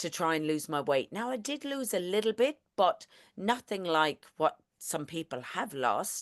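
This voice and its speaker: A woman with a strong Irish accent talks at a fairly slow pace in a fairly low pitch, her tone animated. The sound is dry and close with no echo, over a quiet background. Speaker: network marketing presenter. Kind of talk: online presentation.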